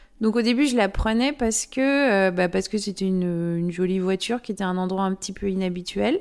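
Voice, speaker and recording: A woman at a medium pitch with ordinary pitch variation, on a very clean recording with a silent background. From French-Swiss. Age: 40s. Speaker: amateur photographer. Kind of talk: interview monologue. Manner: hesitant, frequent fillers.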